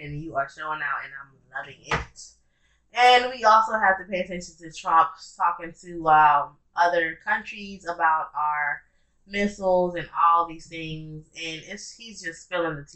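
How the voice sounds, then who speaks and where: A woman talks at a fairly slow pace in a fairly low pitch. Her loudness swings widely, while her pitch varies in an ordinary way. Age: 20s. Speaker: podcast co-host. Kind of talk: casual chat.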